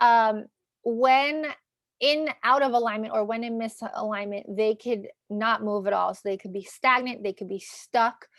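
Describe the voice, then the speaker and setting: With a New York accent, a woman speaks at a fairly high pitch with ordinary pitch variation, recorded very cleanly against a silent background. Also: fairly slow pace. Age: 30s. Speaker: astrologer and tarot reader. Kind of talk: tarot reading video. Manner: casual, filler-heavy.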